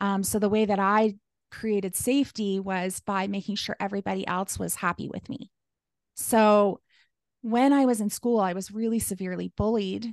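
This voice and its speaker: A woman speaks at a medium pitch with fairly even intonation. Her pace is moderate. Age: 40s. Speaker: life coach. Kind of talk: casual interview.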